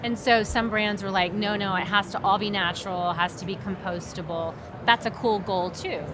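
Amid noticeable background noise, a woman with an American accent talks fairly quickly at a medium pitch, her intonation fairly even. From Oklahoma. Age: 50s. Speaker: apparel manufacturing executive. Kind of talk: casual trade show conversation.

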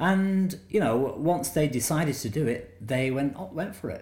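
With audible room echo around him, a man talks at a moderate pace using very wide pitch swings. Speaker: documentary director. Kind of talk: interview about his film.

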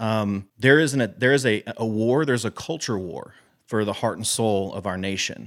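A man with a Texan accent speaks at a medium pitch and a moderate pace with ordinary pitch variation. The recording is very clean, with a silent background. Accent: Texan American English. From Texas. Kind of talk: interview conversation.

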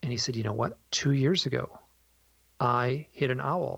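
Speaking at a moderate pace, a man with a medium-pitched voice shows vocal fry and ordinary pitch variation. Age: 50s. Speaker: author and illustrator. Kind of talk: interview. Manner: halting.

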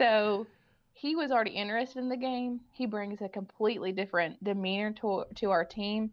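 A woman's fairly high voice with ordinary pitch variation at a fairly quick pace. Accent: Kentucky. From Kentucky, Owen County. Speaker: girls basketball assistant coach. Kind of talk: interview.

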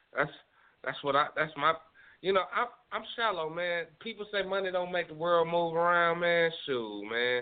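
This man's voice sits high in pitch, with lively intonation. He talks at a moderate pace. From Nashville, Tennessee. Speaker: independent rapper. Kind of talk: casual interview. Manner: halting, many fillers.

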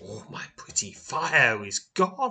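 Putting on a raspy character voice, a man speaks in a raised, projected way, with hissing. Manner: hissing with every breath, menacing.

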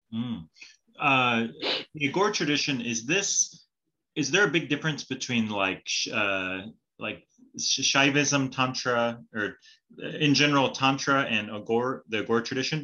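A man with an American accent speaks in a bright, sharp tone at medium pitch, fairly slowly and with long, frequent pauses. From California. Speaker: podcast host. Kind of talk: interview.

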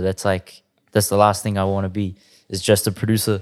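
At a moderate pace, a man with a New Zealand accent speaks in a very clean recording with a silent background. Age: 20s. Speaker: music producer. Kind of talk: casual chat.

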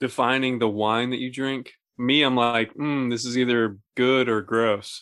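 At a fairly slow pace, a man talks with an ordinary speaking voice at a medium pitch. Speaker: podcast host. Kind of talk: casual chat, joking banter.

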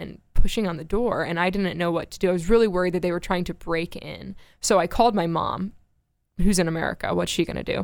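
A woman with a plain, everyday voice speaks at a fairly quick pace and fairly low pitch, with big swings in loudness, on a very clean recording with a silent background. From Florida. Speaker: radio show staffer and writer. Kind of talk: casual interview chat about her life story. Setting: studio.

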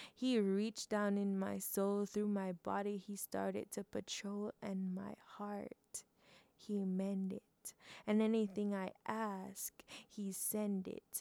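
At a very slow pace, a woman of medium pitch speaks in a monotone, flat intonation with a dark, mellow tone and a dry, close sound with no echo. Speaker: podcast host and poet. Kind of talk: poem performed, rhythmic spoken word with rhyme, heartfelt testimony of faith. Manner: earnest, emotive, rhythmic, pausing between rhymed lines; warm and chatty when talking to listeners.

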